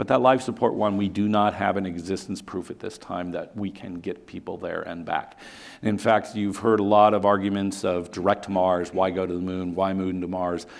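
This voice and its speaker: Hardly pausing, a man talks at a moderate pace in a fairly low pitch. His intonation stays fairly even. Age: 60s. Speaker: company executive, engineer. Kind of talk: conference presentation. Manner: halting.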